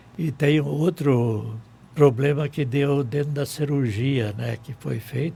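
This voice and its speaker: A man's medium-pitched voice, with ordinary pitch variation, moves at a very slow pace. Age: 80s+. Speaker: town pioneer. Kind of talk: radio interview. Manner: short of breath.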